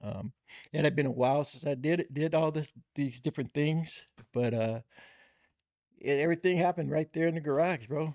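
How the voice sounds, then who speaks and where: In a plain, everyday voice, an American man speaks at a moderate pace with fairly high pitch and ordinary pitch variation. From Bay Area, California (Richmond). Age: 60s. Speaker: lowrider car builder. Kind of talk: casual interview chat.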